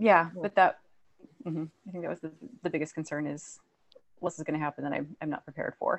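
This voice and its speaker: Fairly low in pitch, a woman talks with ordinary pitch variation. Her pace is fairly quick. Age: 40s. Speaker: podcast co-host. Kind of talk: casual chat.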